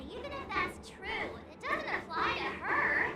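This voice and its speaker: An extremely high, put-on character voice speaks at a moderate pace. Faint music plays in the background. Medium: short film. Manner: expressive, jumpy.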